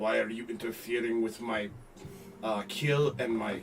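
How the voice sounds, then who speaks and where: A man puts on a character voice at a medium pitch. He talks at a moderate pace over clear background noise. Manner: imperious, accusing.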